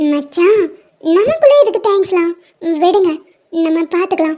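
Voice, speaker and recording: Using a cartoonish character voice, a woman speaks in an extremely high pitch with a playful tone and lively intonation at a moderate pace. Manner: playful but sensible.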